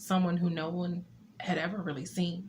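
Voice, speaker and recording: Over noticeable background noise, a woman speaks in a shaky, fairly low voice. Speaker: poet and author. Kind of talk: poetry reading. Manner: slightly shaky.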